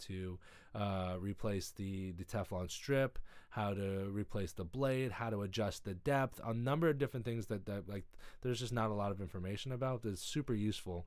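This man has a fairly low pitch and an American accent. His pitch varies in an ordinary way. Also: quiet background. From US West Coast, Los Angeles. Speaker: window tinter and YouTube host; YouTube host. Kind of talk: livestream Q&A chat. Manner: casual with many filler words. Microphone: studio mic.

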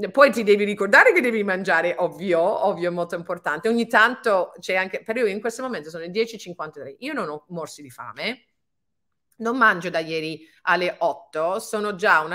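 A woman's bright, sharp tone with ordinary pitch variation against a quiet background. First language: English (speaking Italian). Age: 50s. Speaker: fitness and anti-aging coach; anti-aging coach. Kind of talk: webinar talk. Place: home room. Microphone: webcam.

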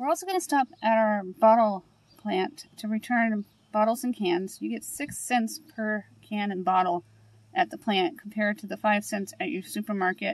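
A woman speaks at a moderate pace. The sound is dry, with no echo. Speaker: grocery haul vlogger. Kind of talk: casual vlog chat. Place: car. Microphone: phone near.

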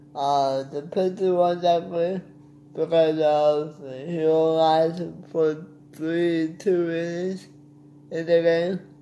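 A man talks at a slow pace, fairly high in pitch, with a dark, mellow tone. There is little pitch movement, and audible room echo.

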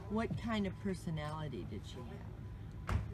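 A woman talks while noticeable background noise fills the space behind her. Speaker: interviewer. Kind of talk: interview questions. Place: garden. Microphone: phone near.

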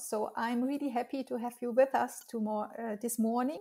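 A woman with a French accent speaks in a high pitch, with ordinary pitch variation. The background is quiet. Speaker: interviewer. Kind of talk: interview; scripted introduction. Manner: halting. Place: home room. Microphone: webcam.

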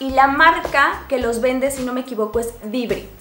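A woman speaks with a high pitch. The room echo is audible, and there is light background noise. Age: 20s. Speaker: beauty vlogger. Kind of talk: product review. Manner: casual.

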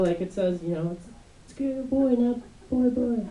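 Speech comes at a moderate pace. The room echo is audible. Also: man. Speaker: stand-up comedian. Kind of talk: stand-up comedy routine. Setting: stage, comedy club. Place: stage.

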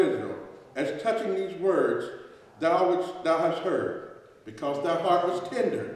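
A man talks at a moderate pace with ordinary pitch variation. Strong room echo surrounds his voice. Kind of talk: sermon. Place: church. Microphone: podium.

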